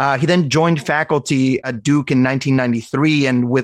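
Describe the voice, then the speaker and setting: An unremarkable speaking voice belongs to a man who talks at a fairly quick pace with ordinary pitch variation against a quiet background. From Venezuela, raised in Arizona. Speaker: cardiology fellow. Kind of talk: interview conversation.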